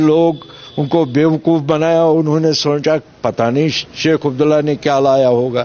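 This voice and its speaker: A man's fairly high voice with fairly even intonation, against noticeable background noise. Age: 70s. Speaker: election candidate. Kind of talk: interview.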